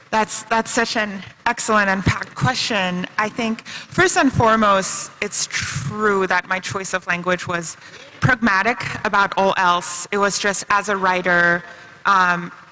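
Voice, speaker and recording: Noticeable background noise surrounds a woman at a medium pitch. Her pace is fairly slow and her intonation fairly even. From China. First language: Chinese and French. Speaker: novelist. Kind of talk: panel discussion.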